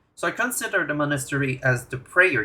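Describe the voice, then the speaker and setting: A man talks in a Quebec accent at a fairly high pitch with lively intonation. The recording is very clean, with a silent background. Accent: French Canadian accent in English. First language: French. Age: 20s. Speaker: gaming YouTuber. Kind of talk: tutorial. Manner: halting.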